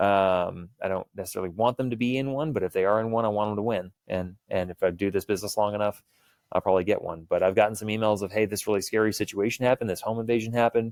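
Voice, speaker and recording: A man with an American accent talks at a very fast pace, his fairly low pitch carrying fairly even intonation. The recording is very clean with a silent background and a dry, close sound with no echo. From US South, Houston, Texas. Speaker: firearms trainer. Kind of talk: podcast interview. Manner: casual.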